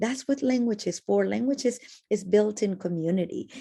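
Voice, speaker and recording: A woman speaks with a Spanish accent. Her tone is dark and mellow. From Argentina. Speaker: educator. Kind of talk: casual chat.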